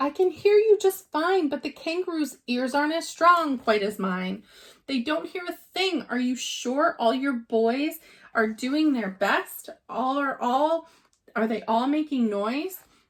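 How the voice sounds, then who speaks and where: Putting on a character voice, a woman with a high pitch speaks at a fairly slow pace. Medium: read story. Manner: earnest, warm.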